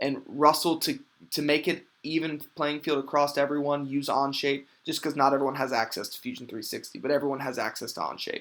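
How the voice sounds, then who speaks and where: Very clean recording with a silent background. A man talks at a fairly quick pace, with a fairly high pitch and fairly even intonation. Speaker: teacher. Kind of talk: tutorial. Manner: casual; fast.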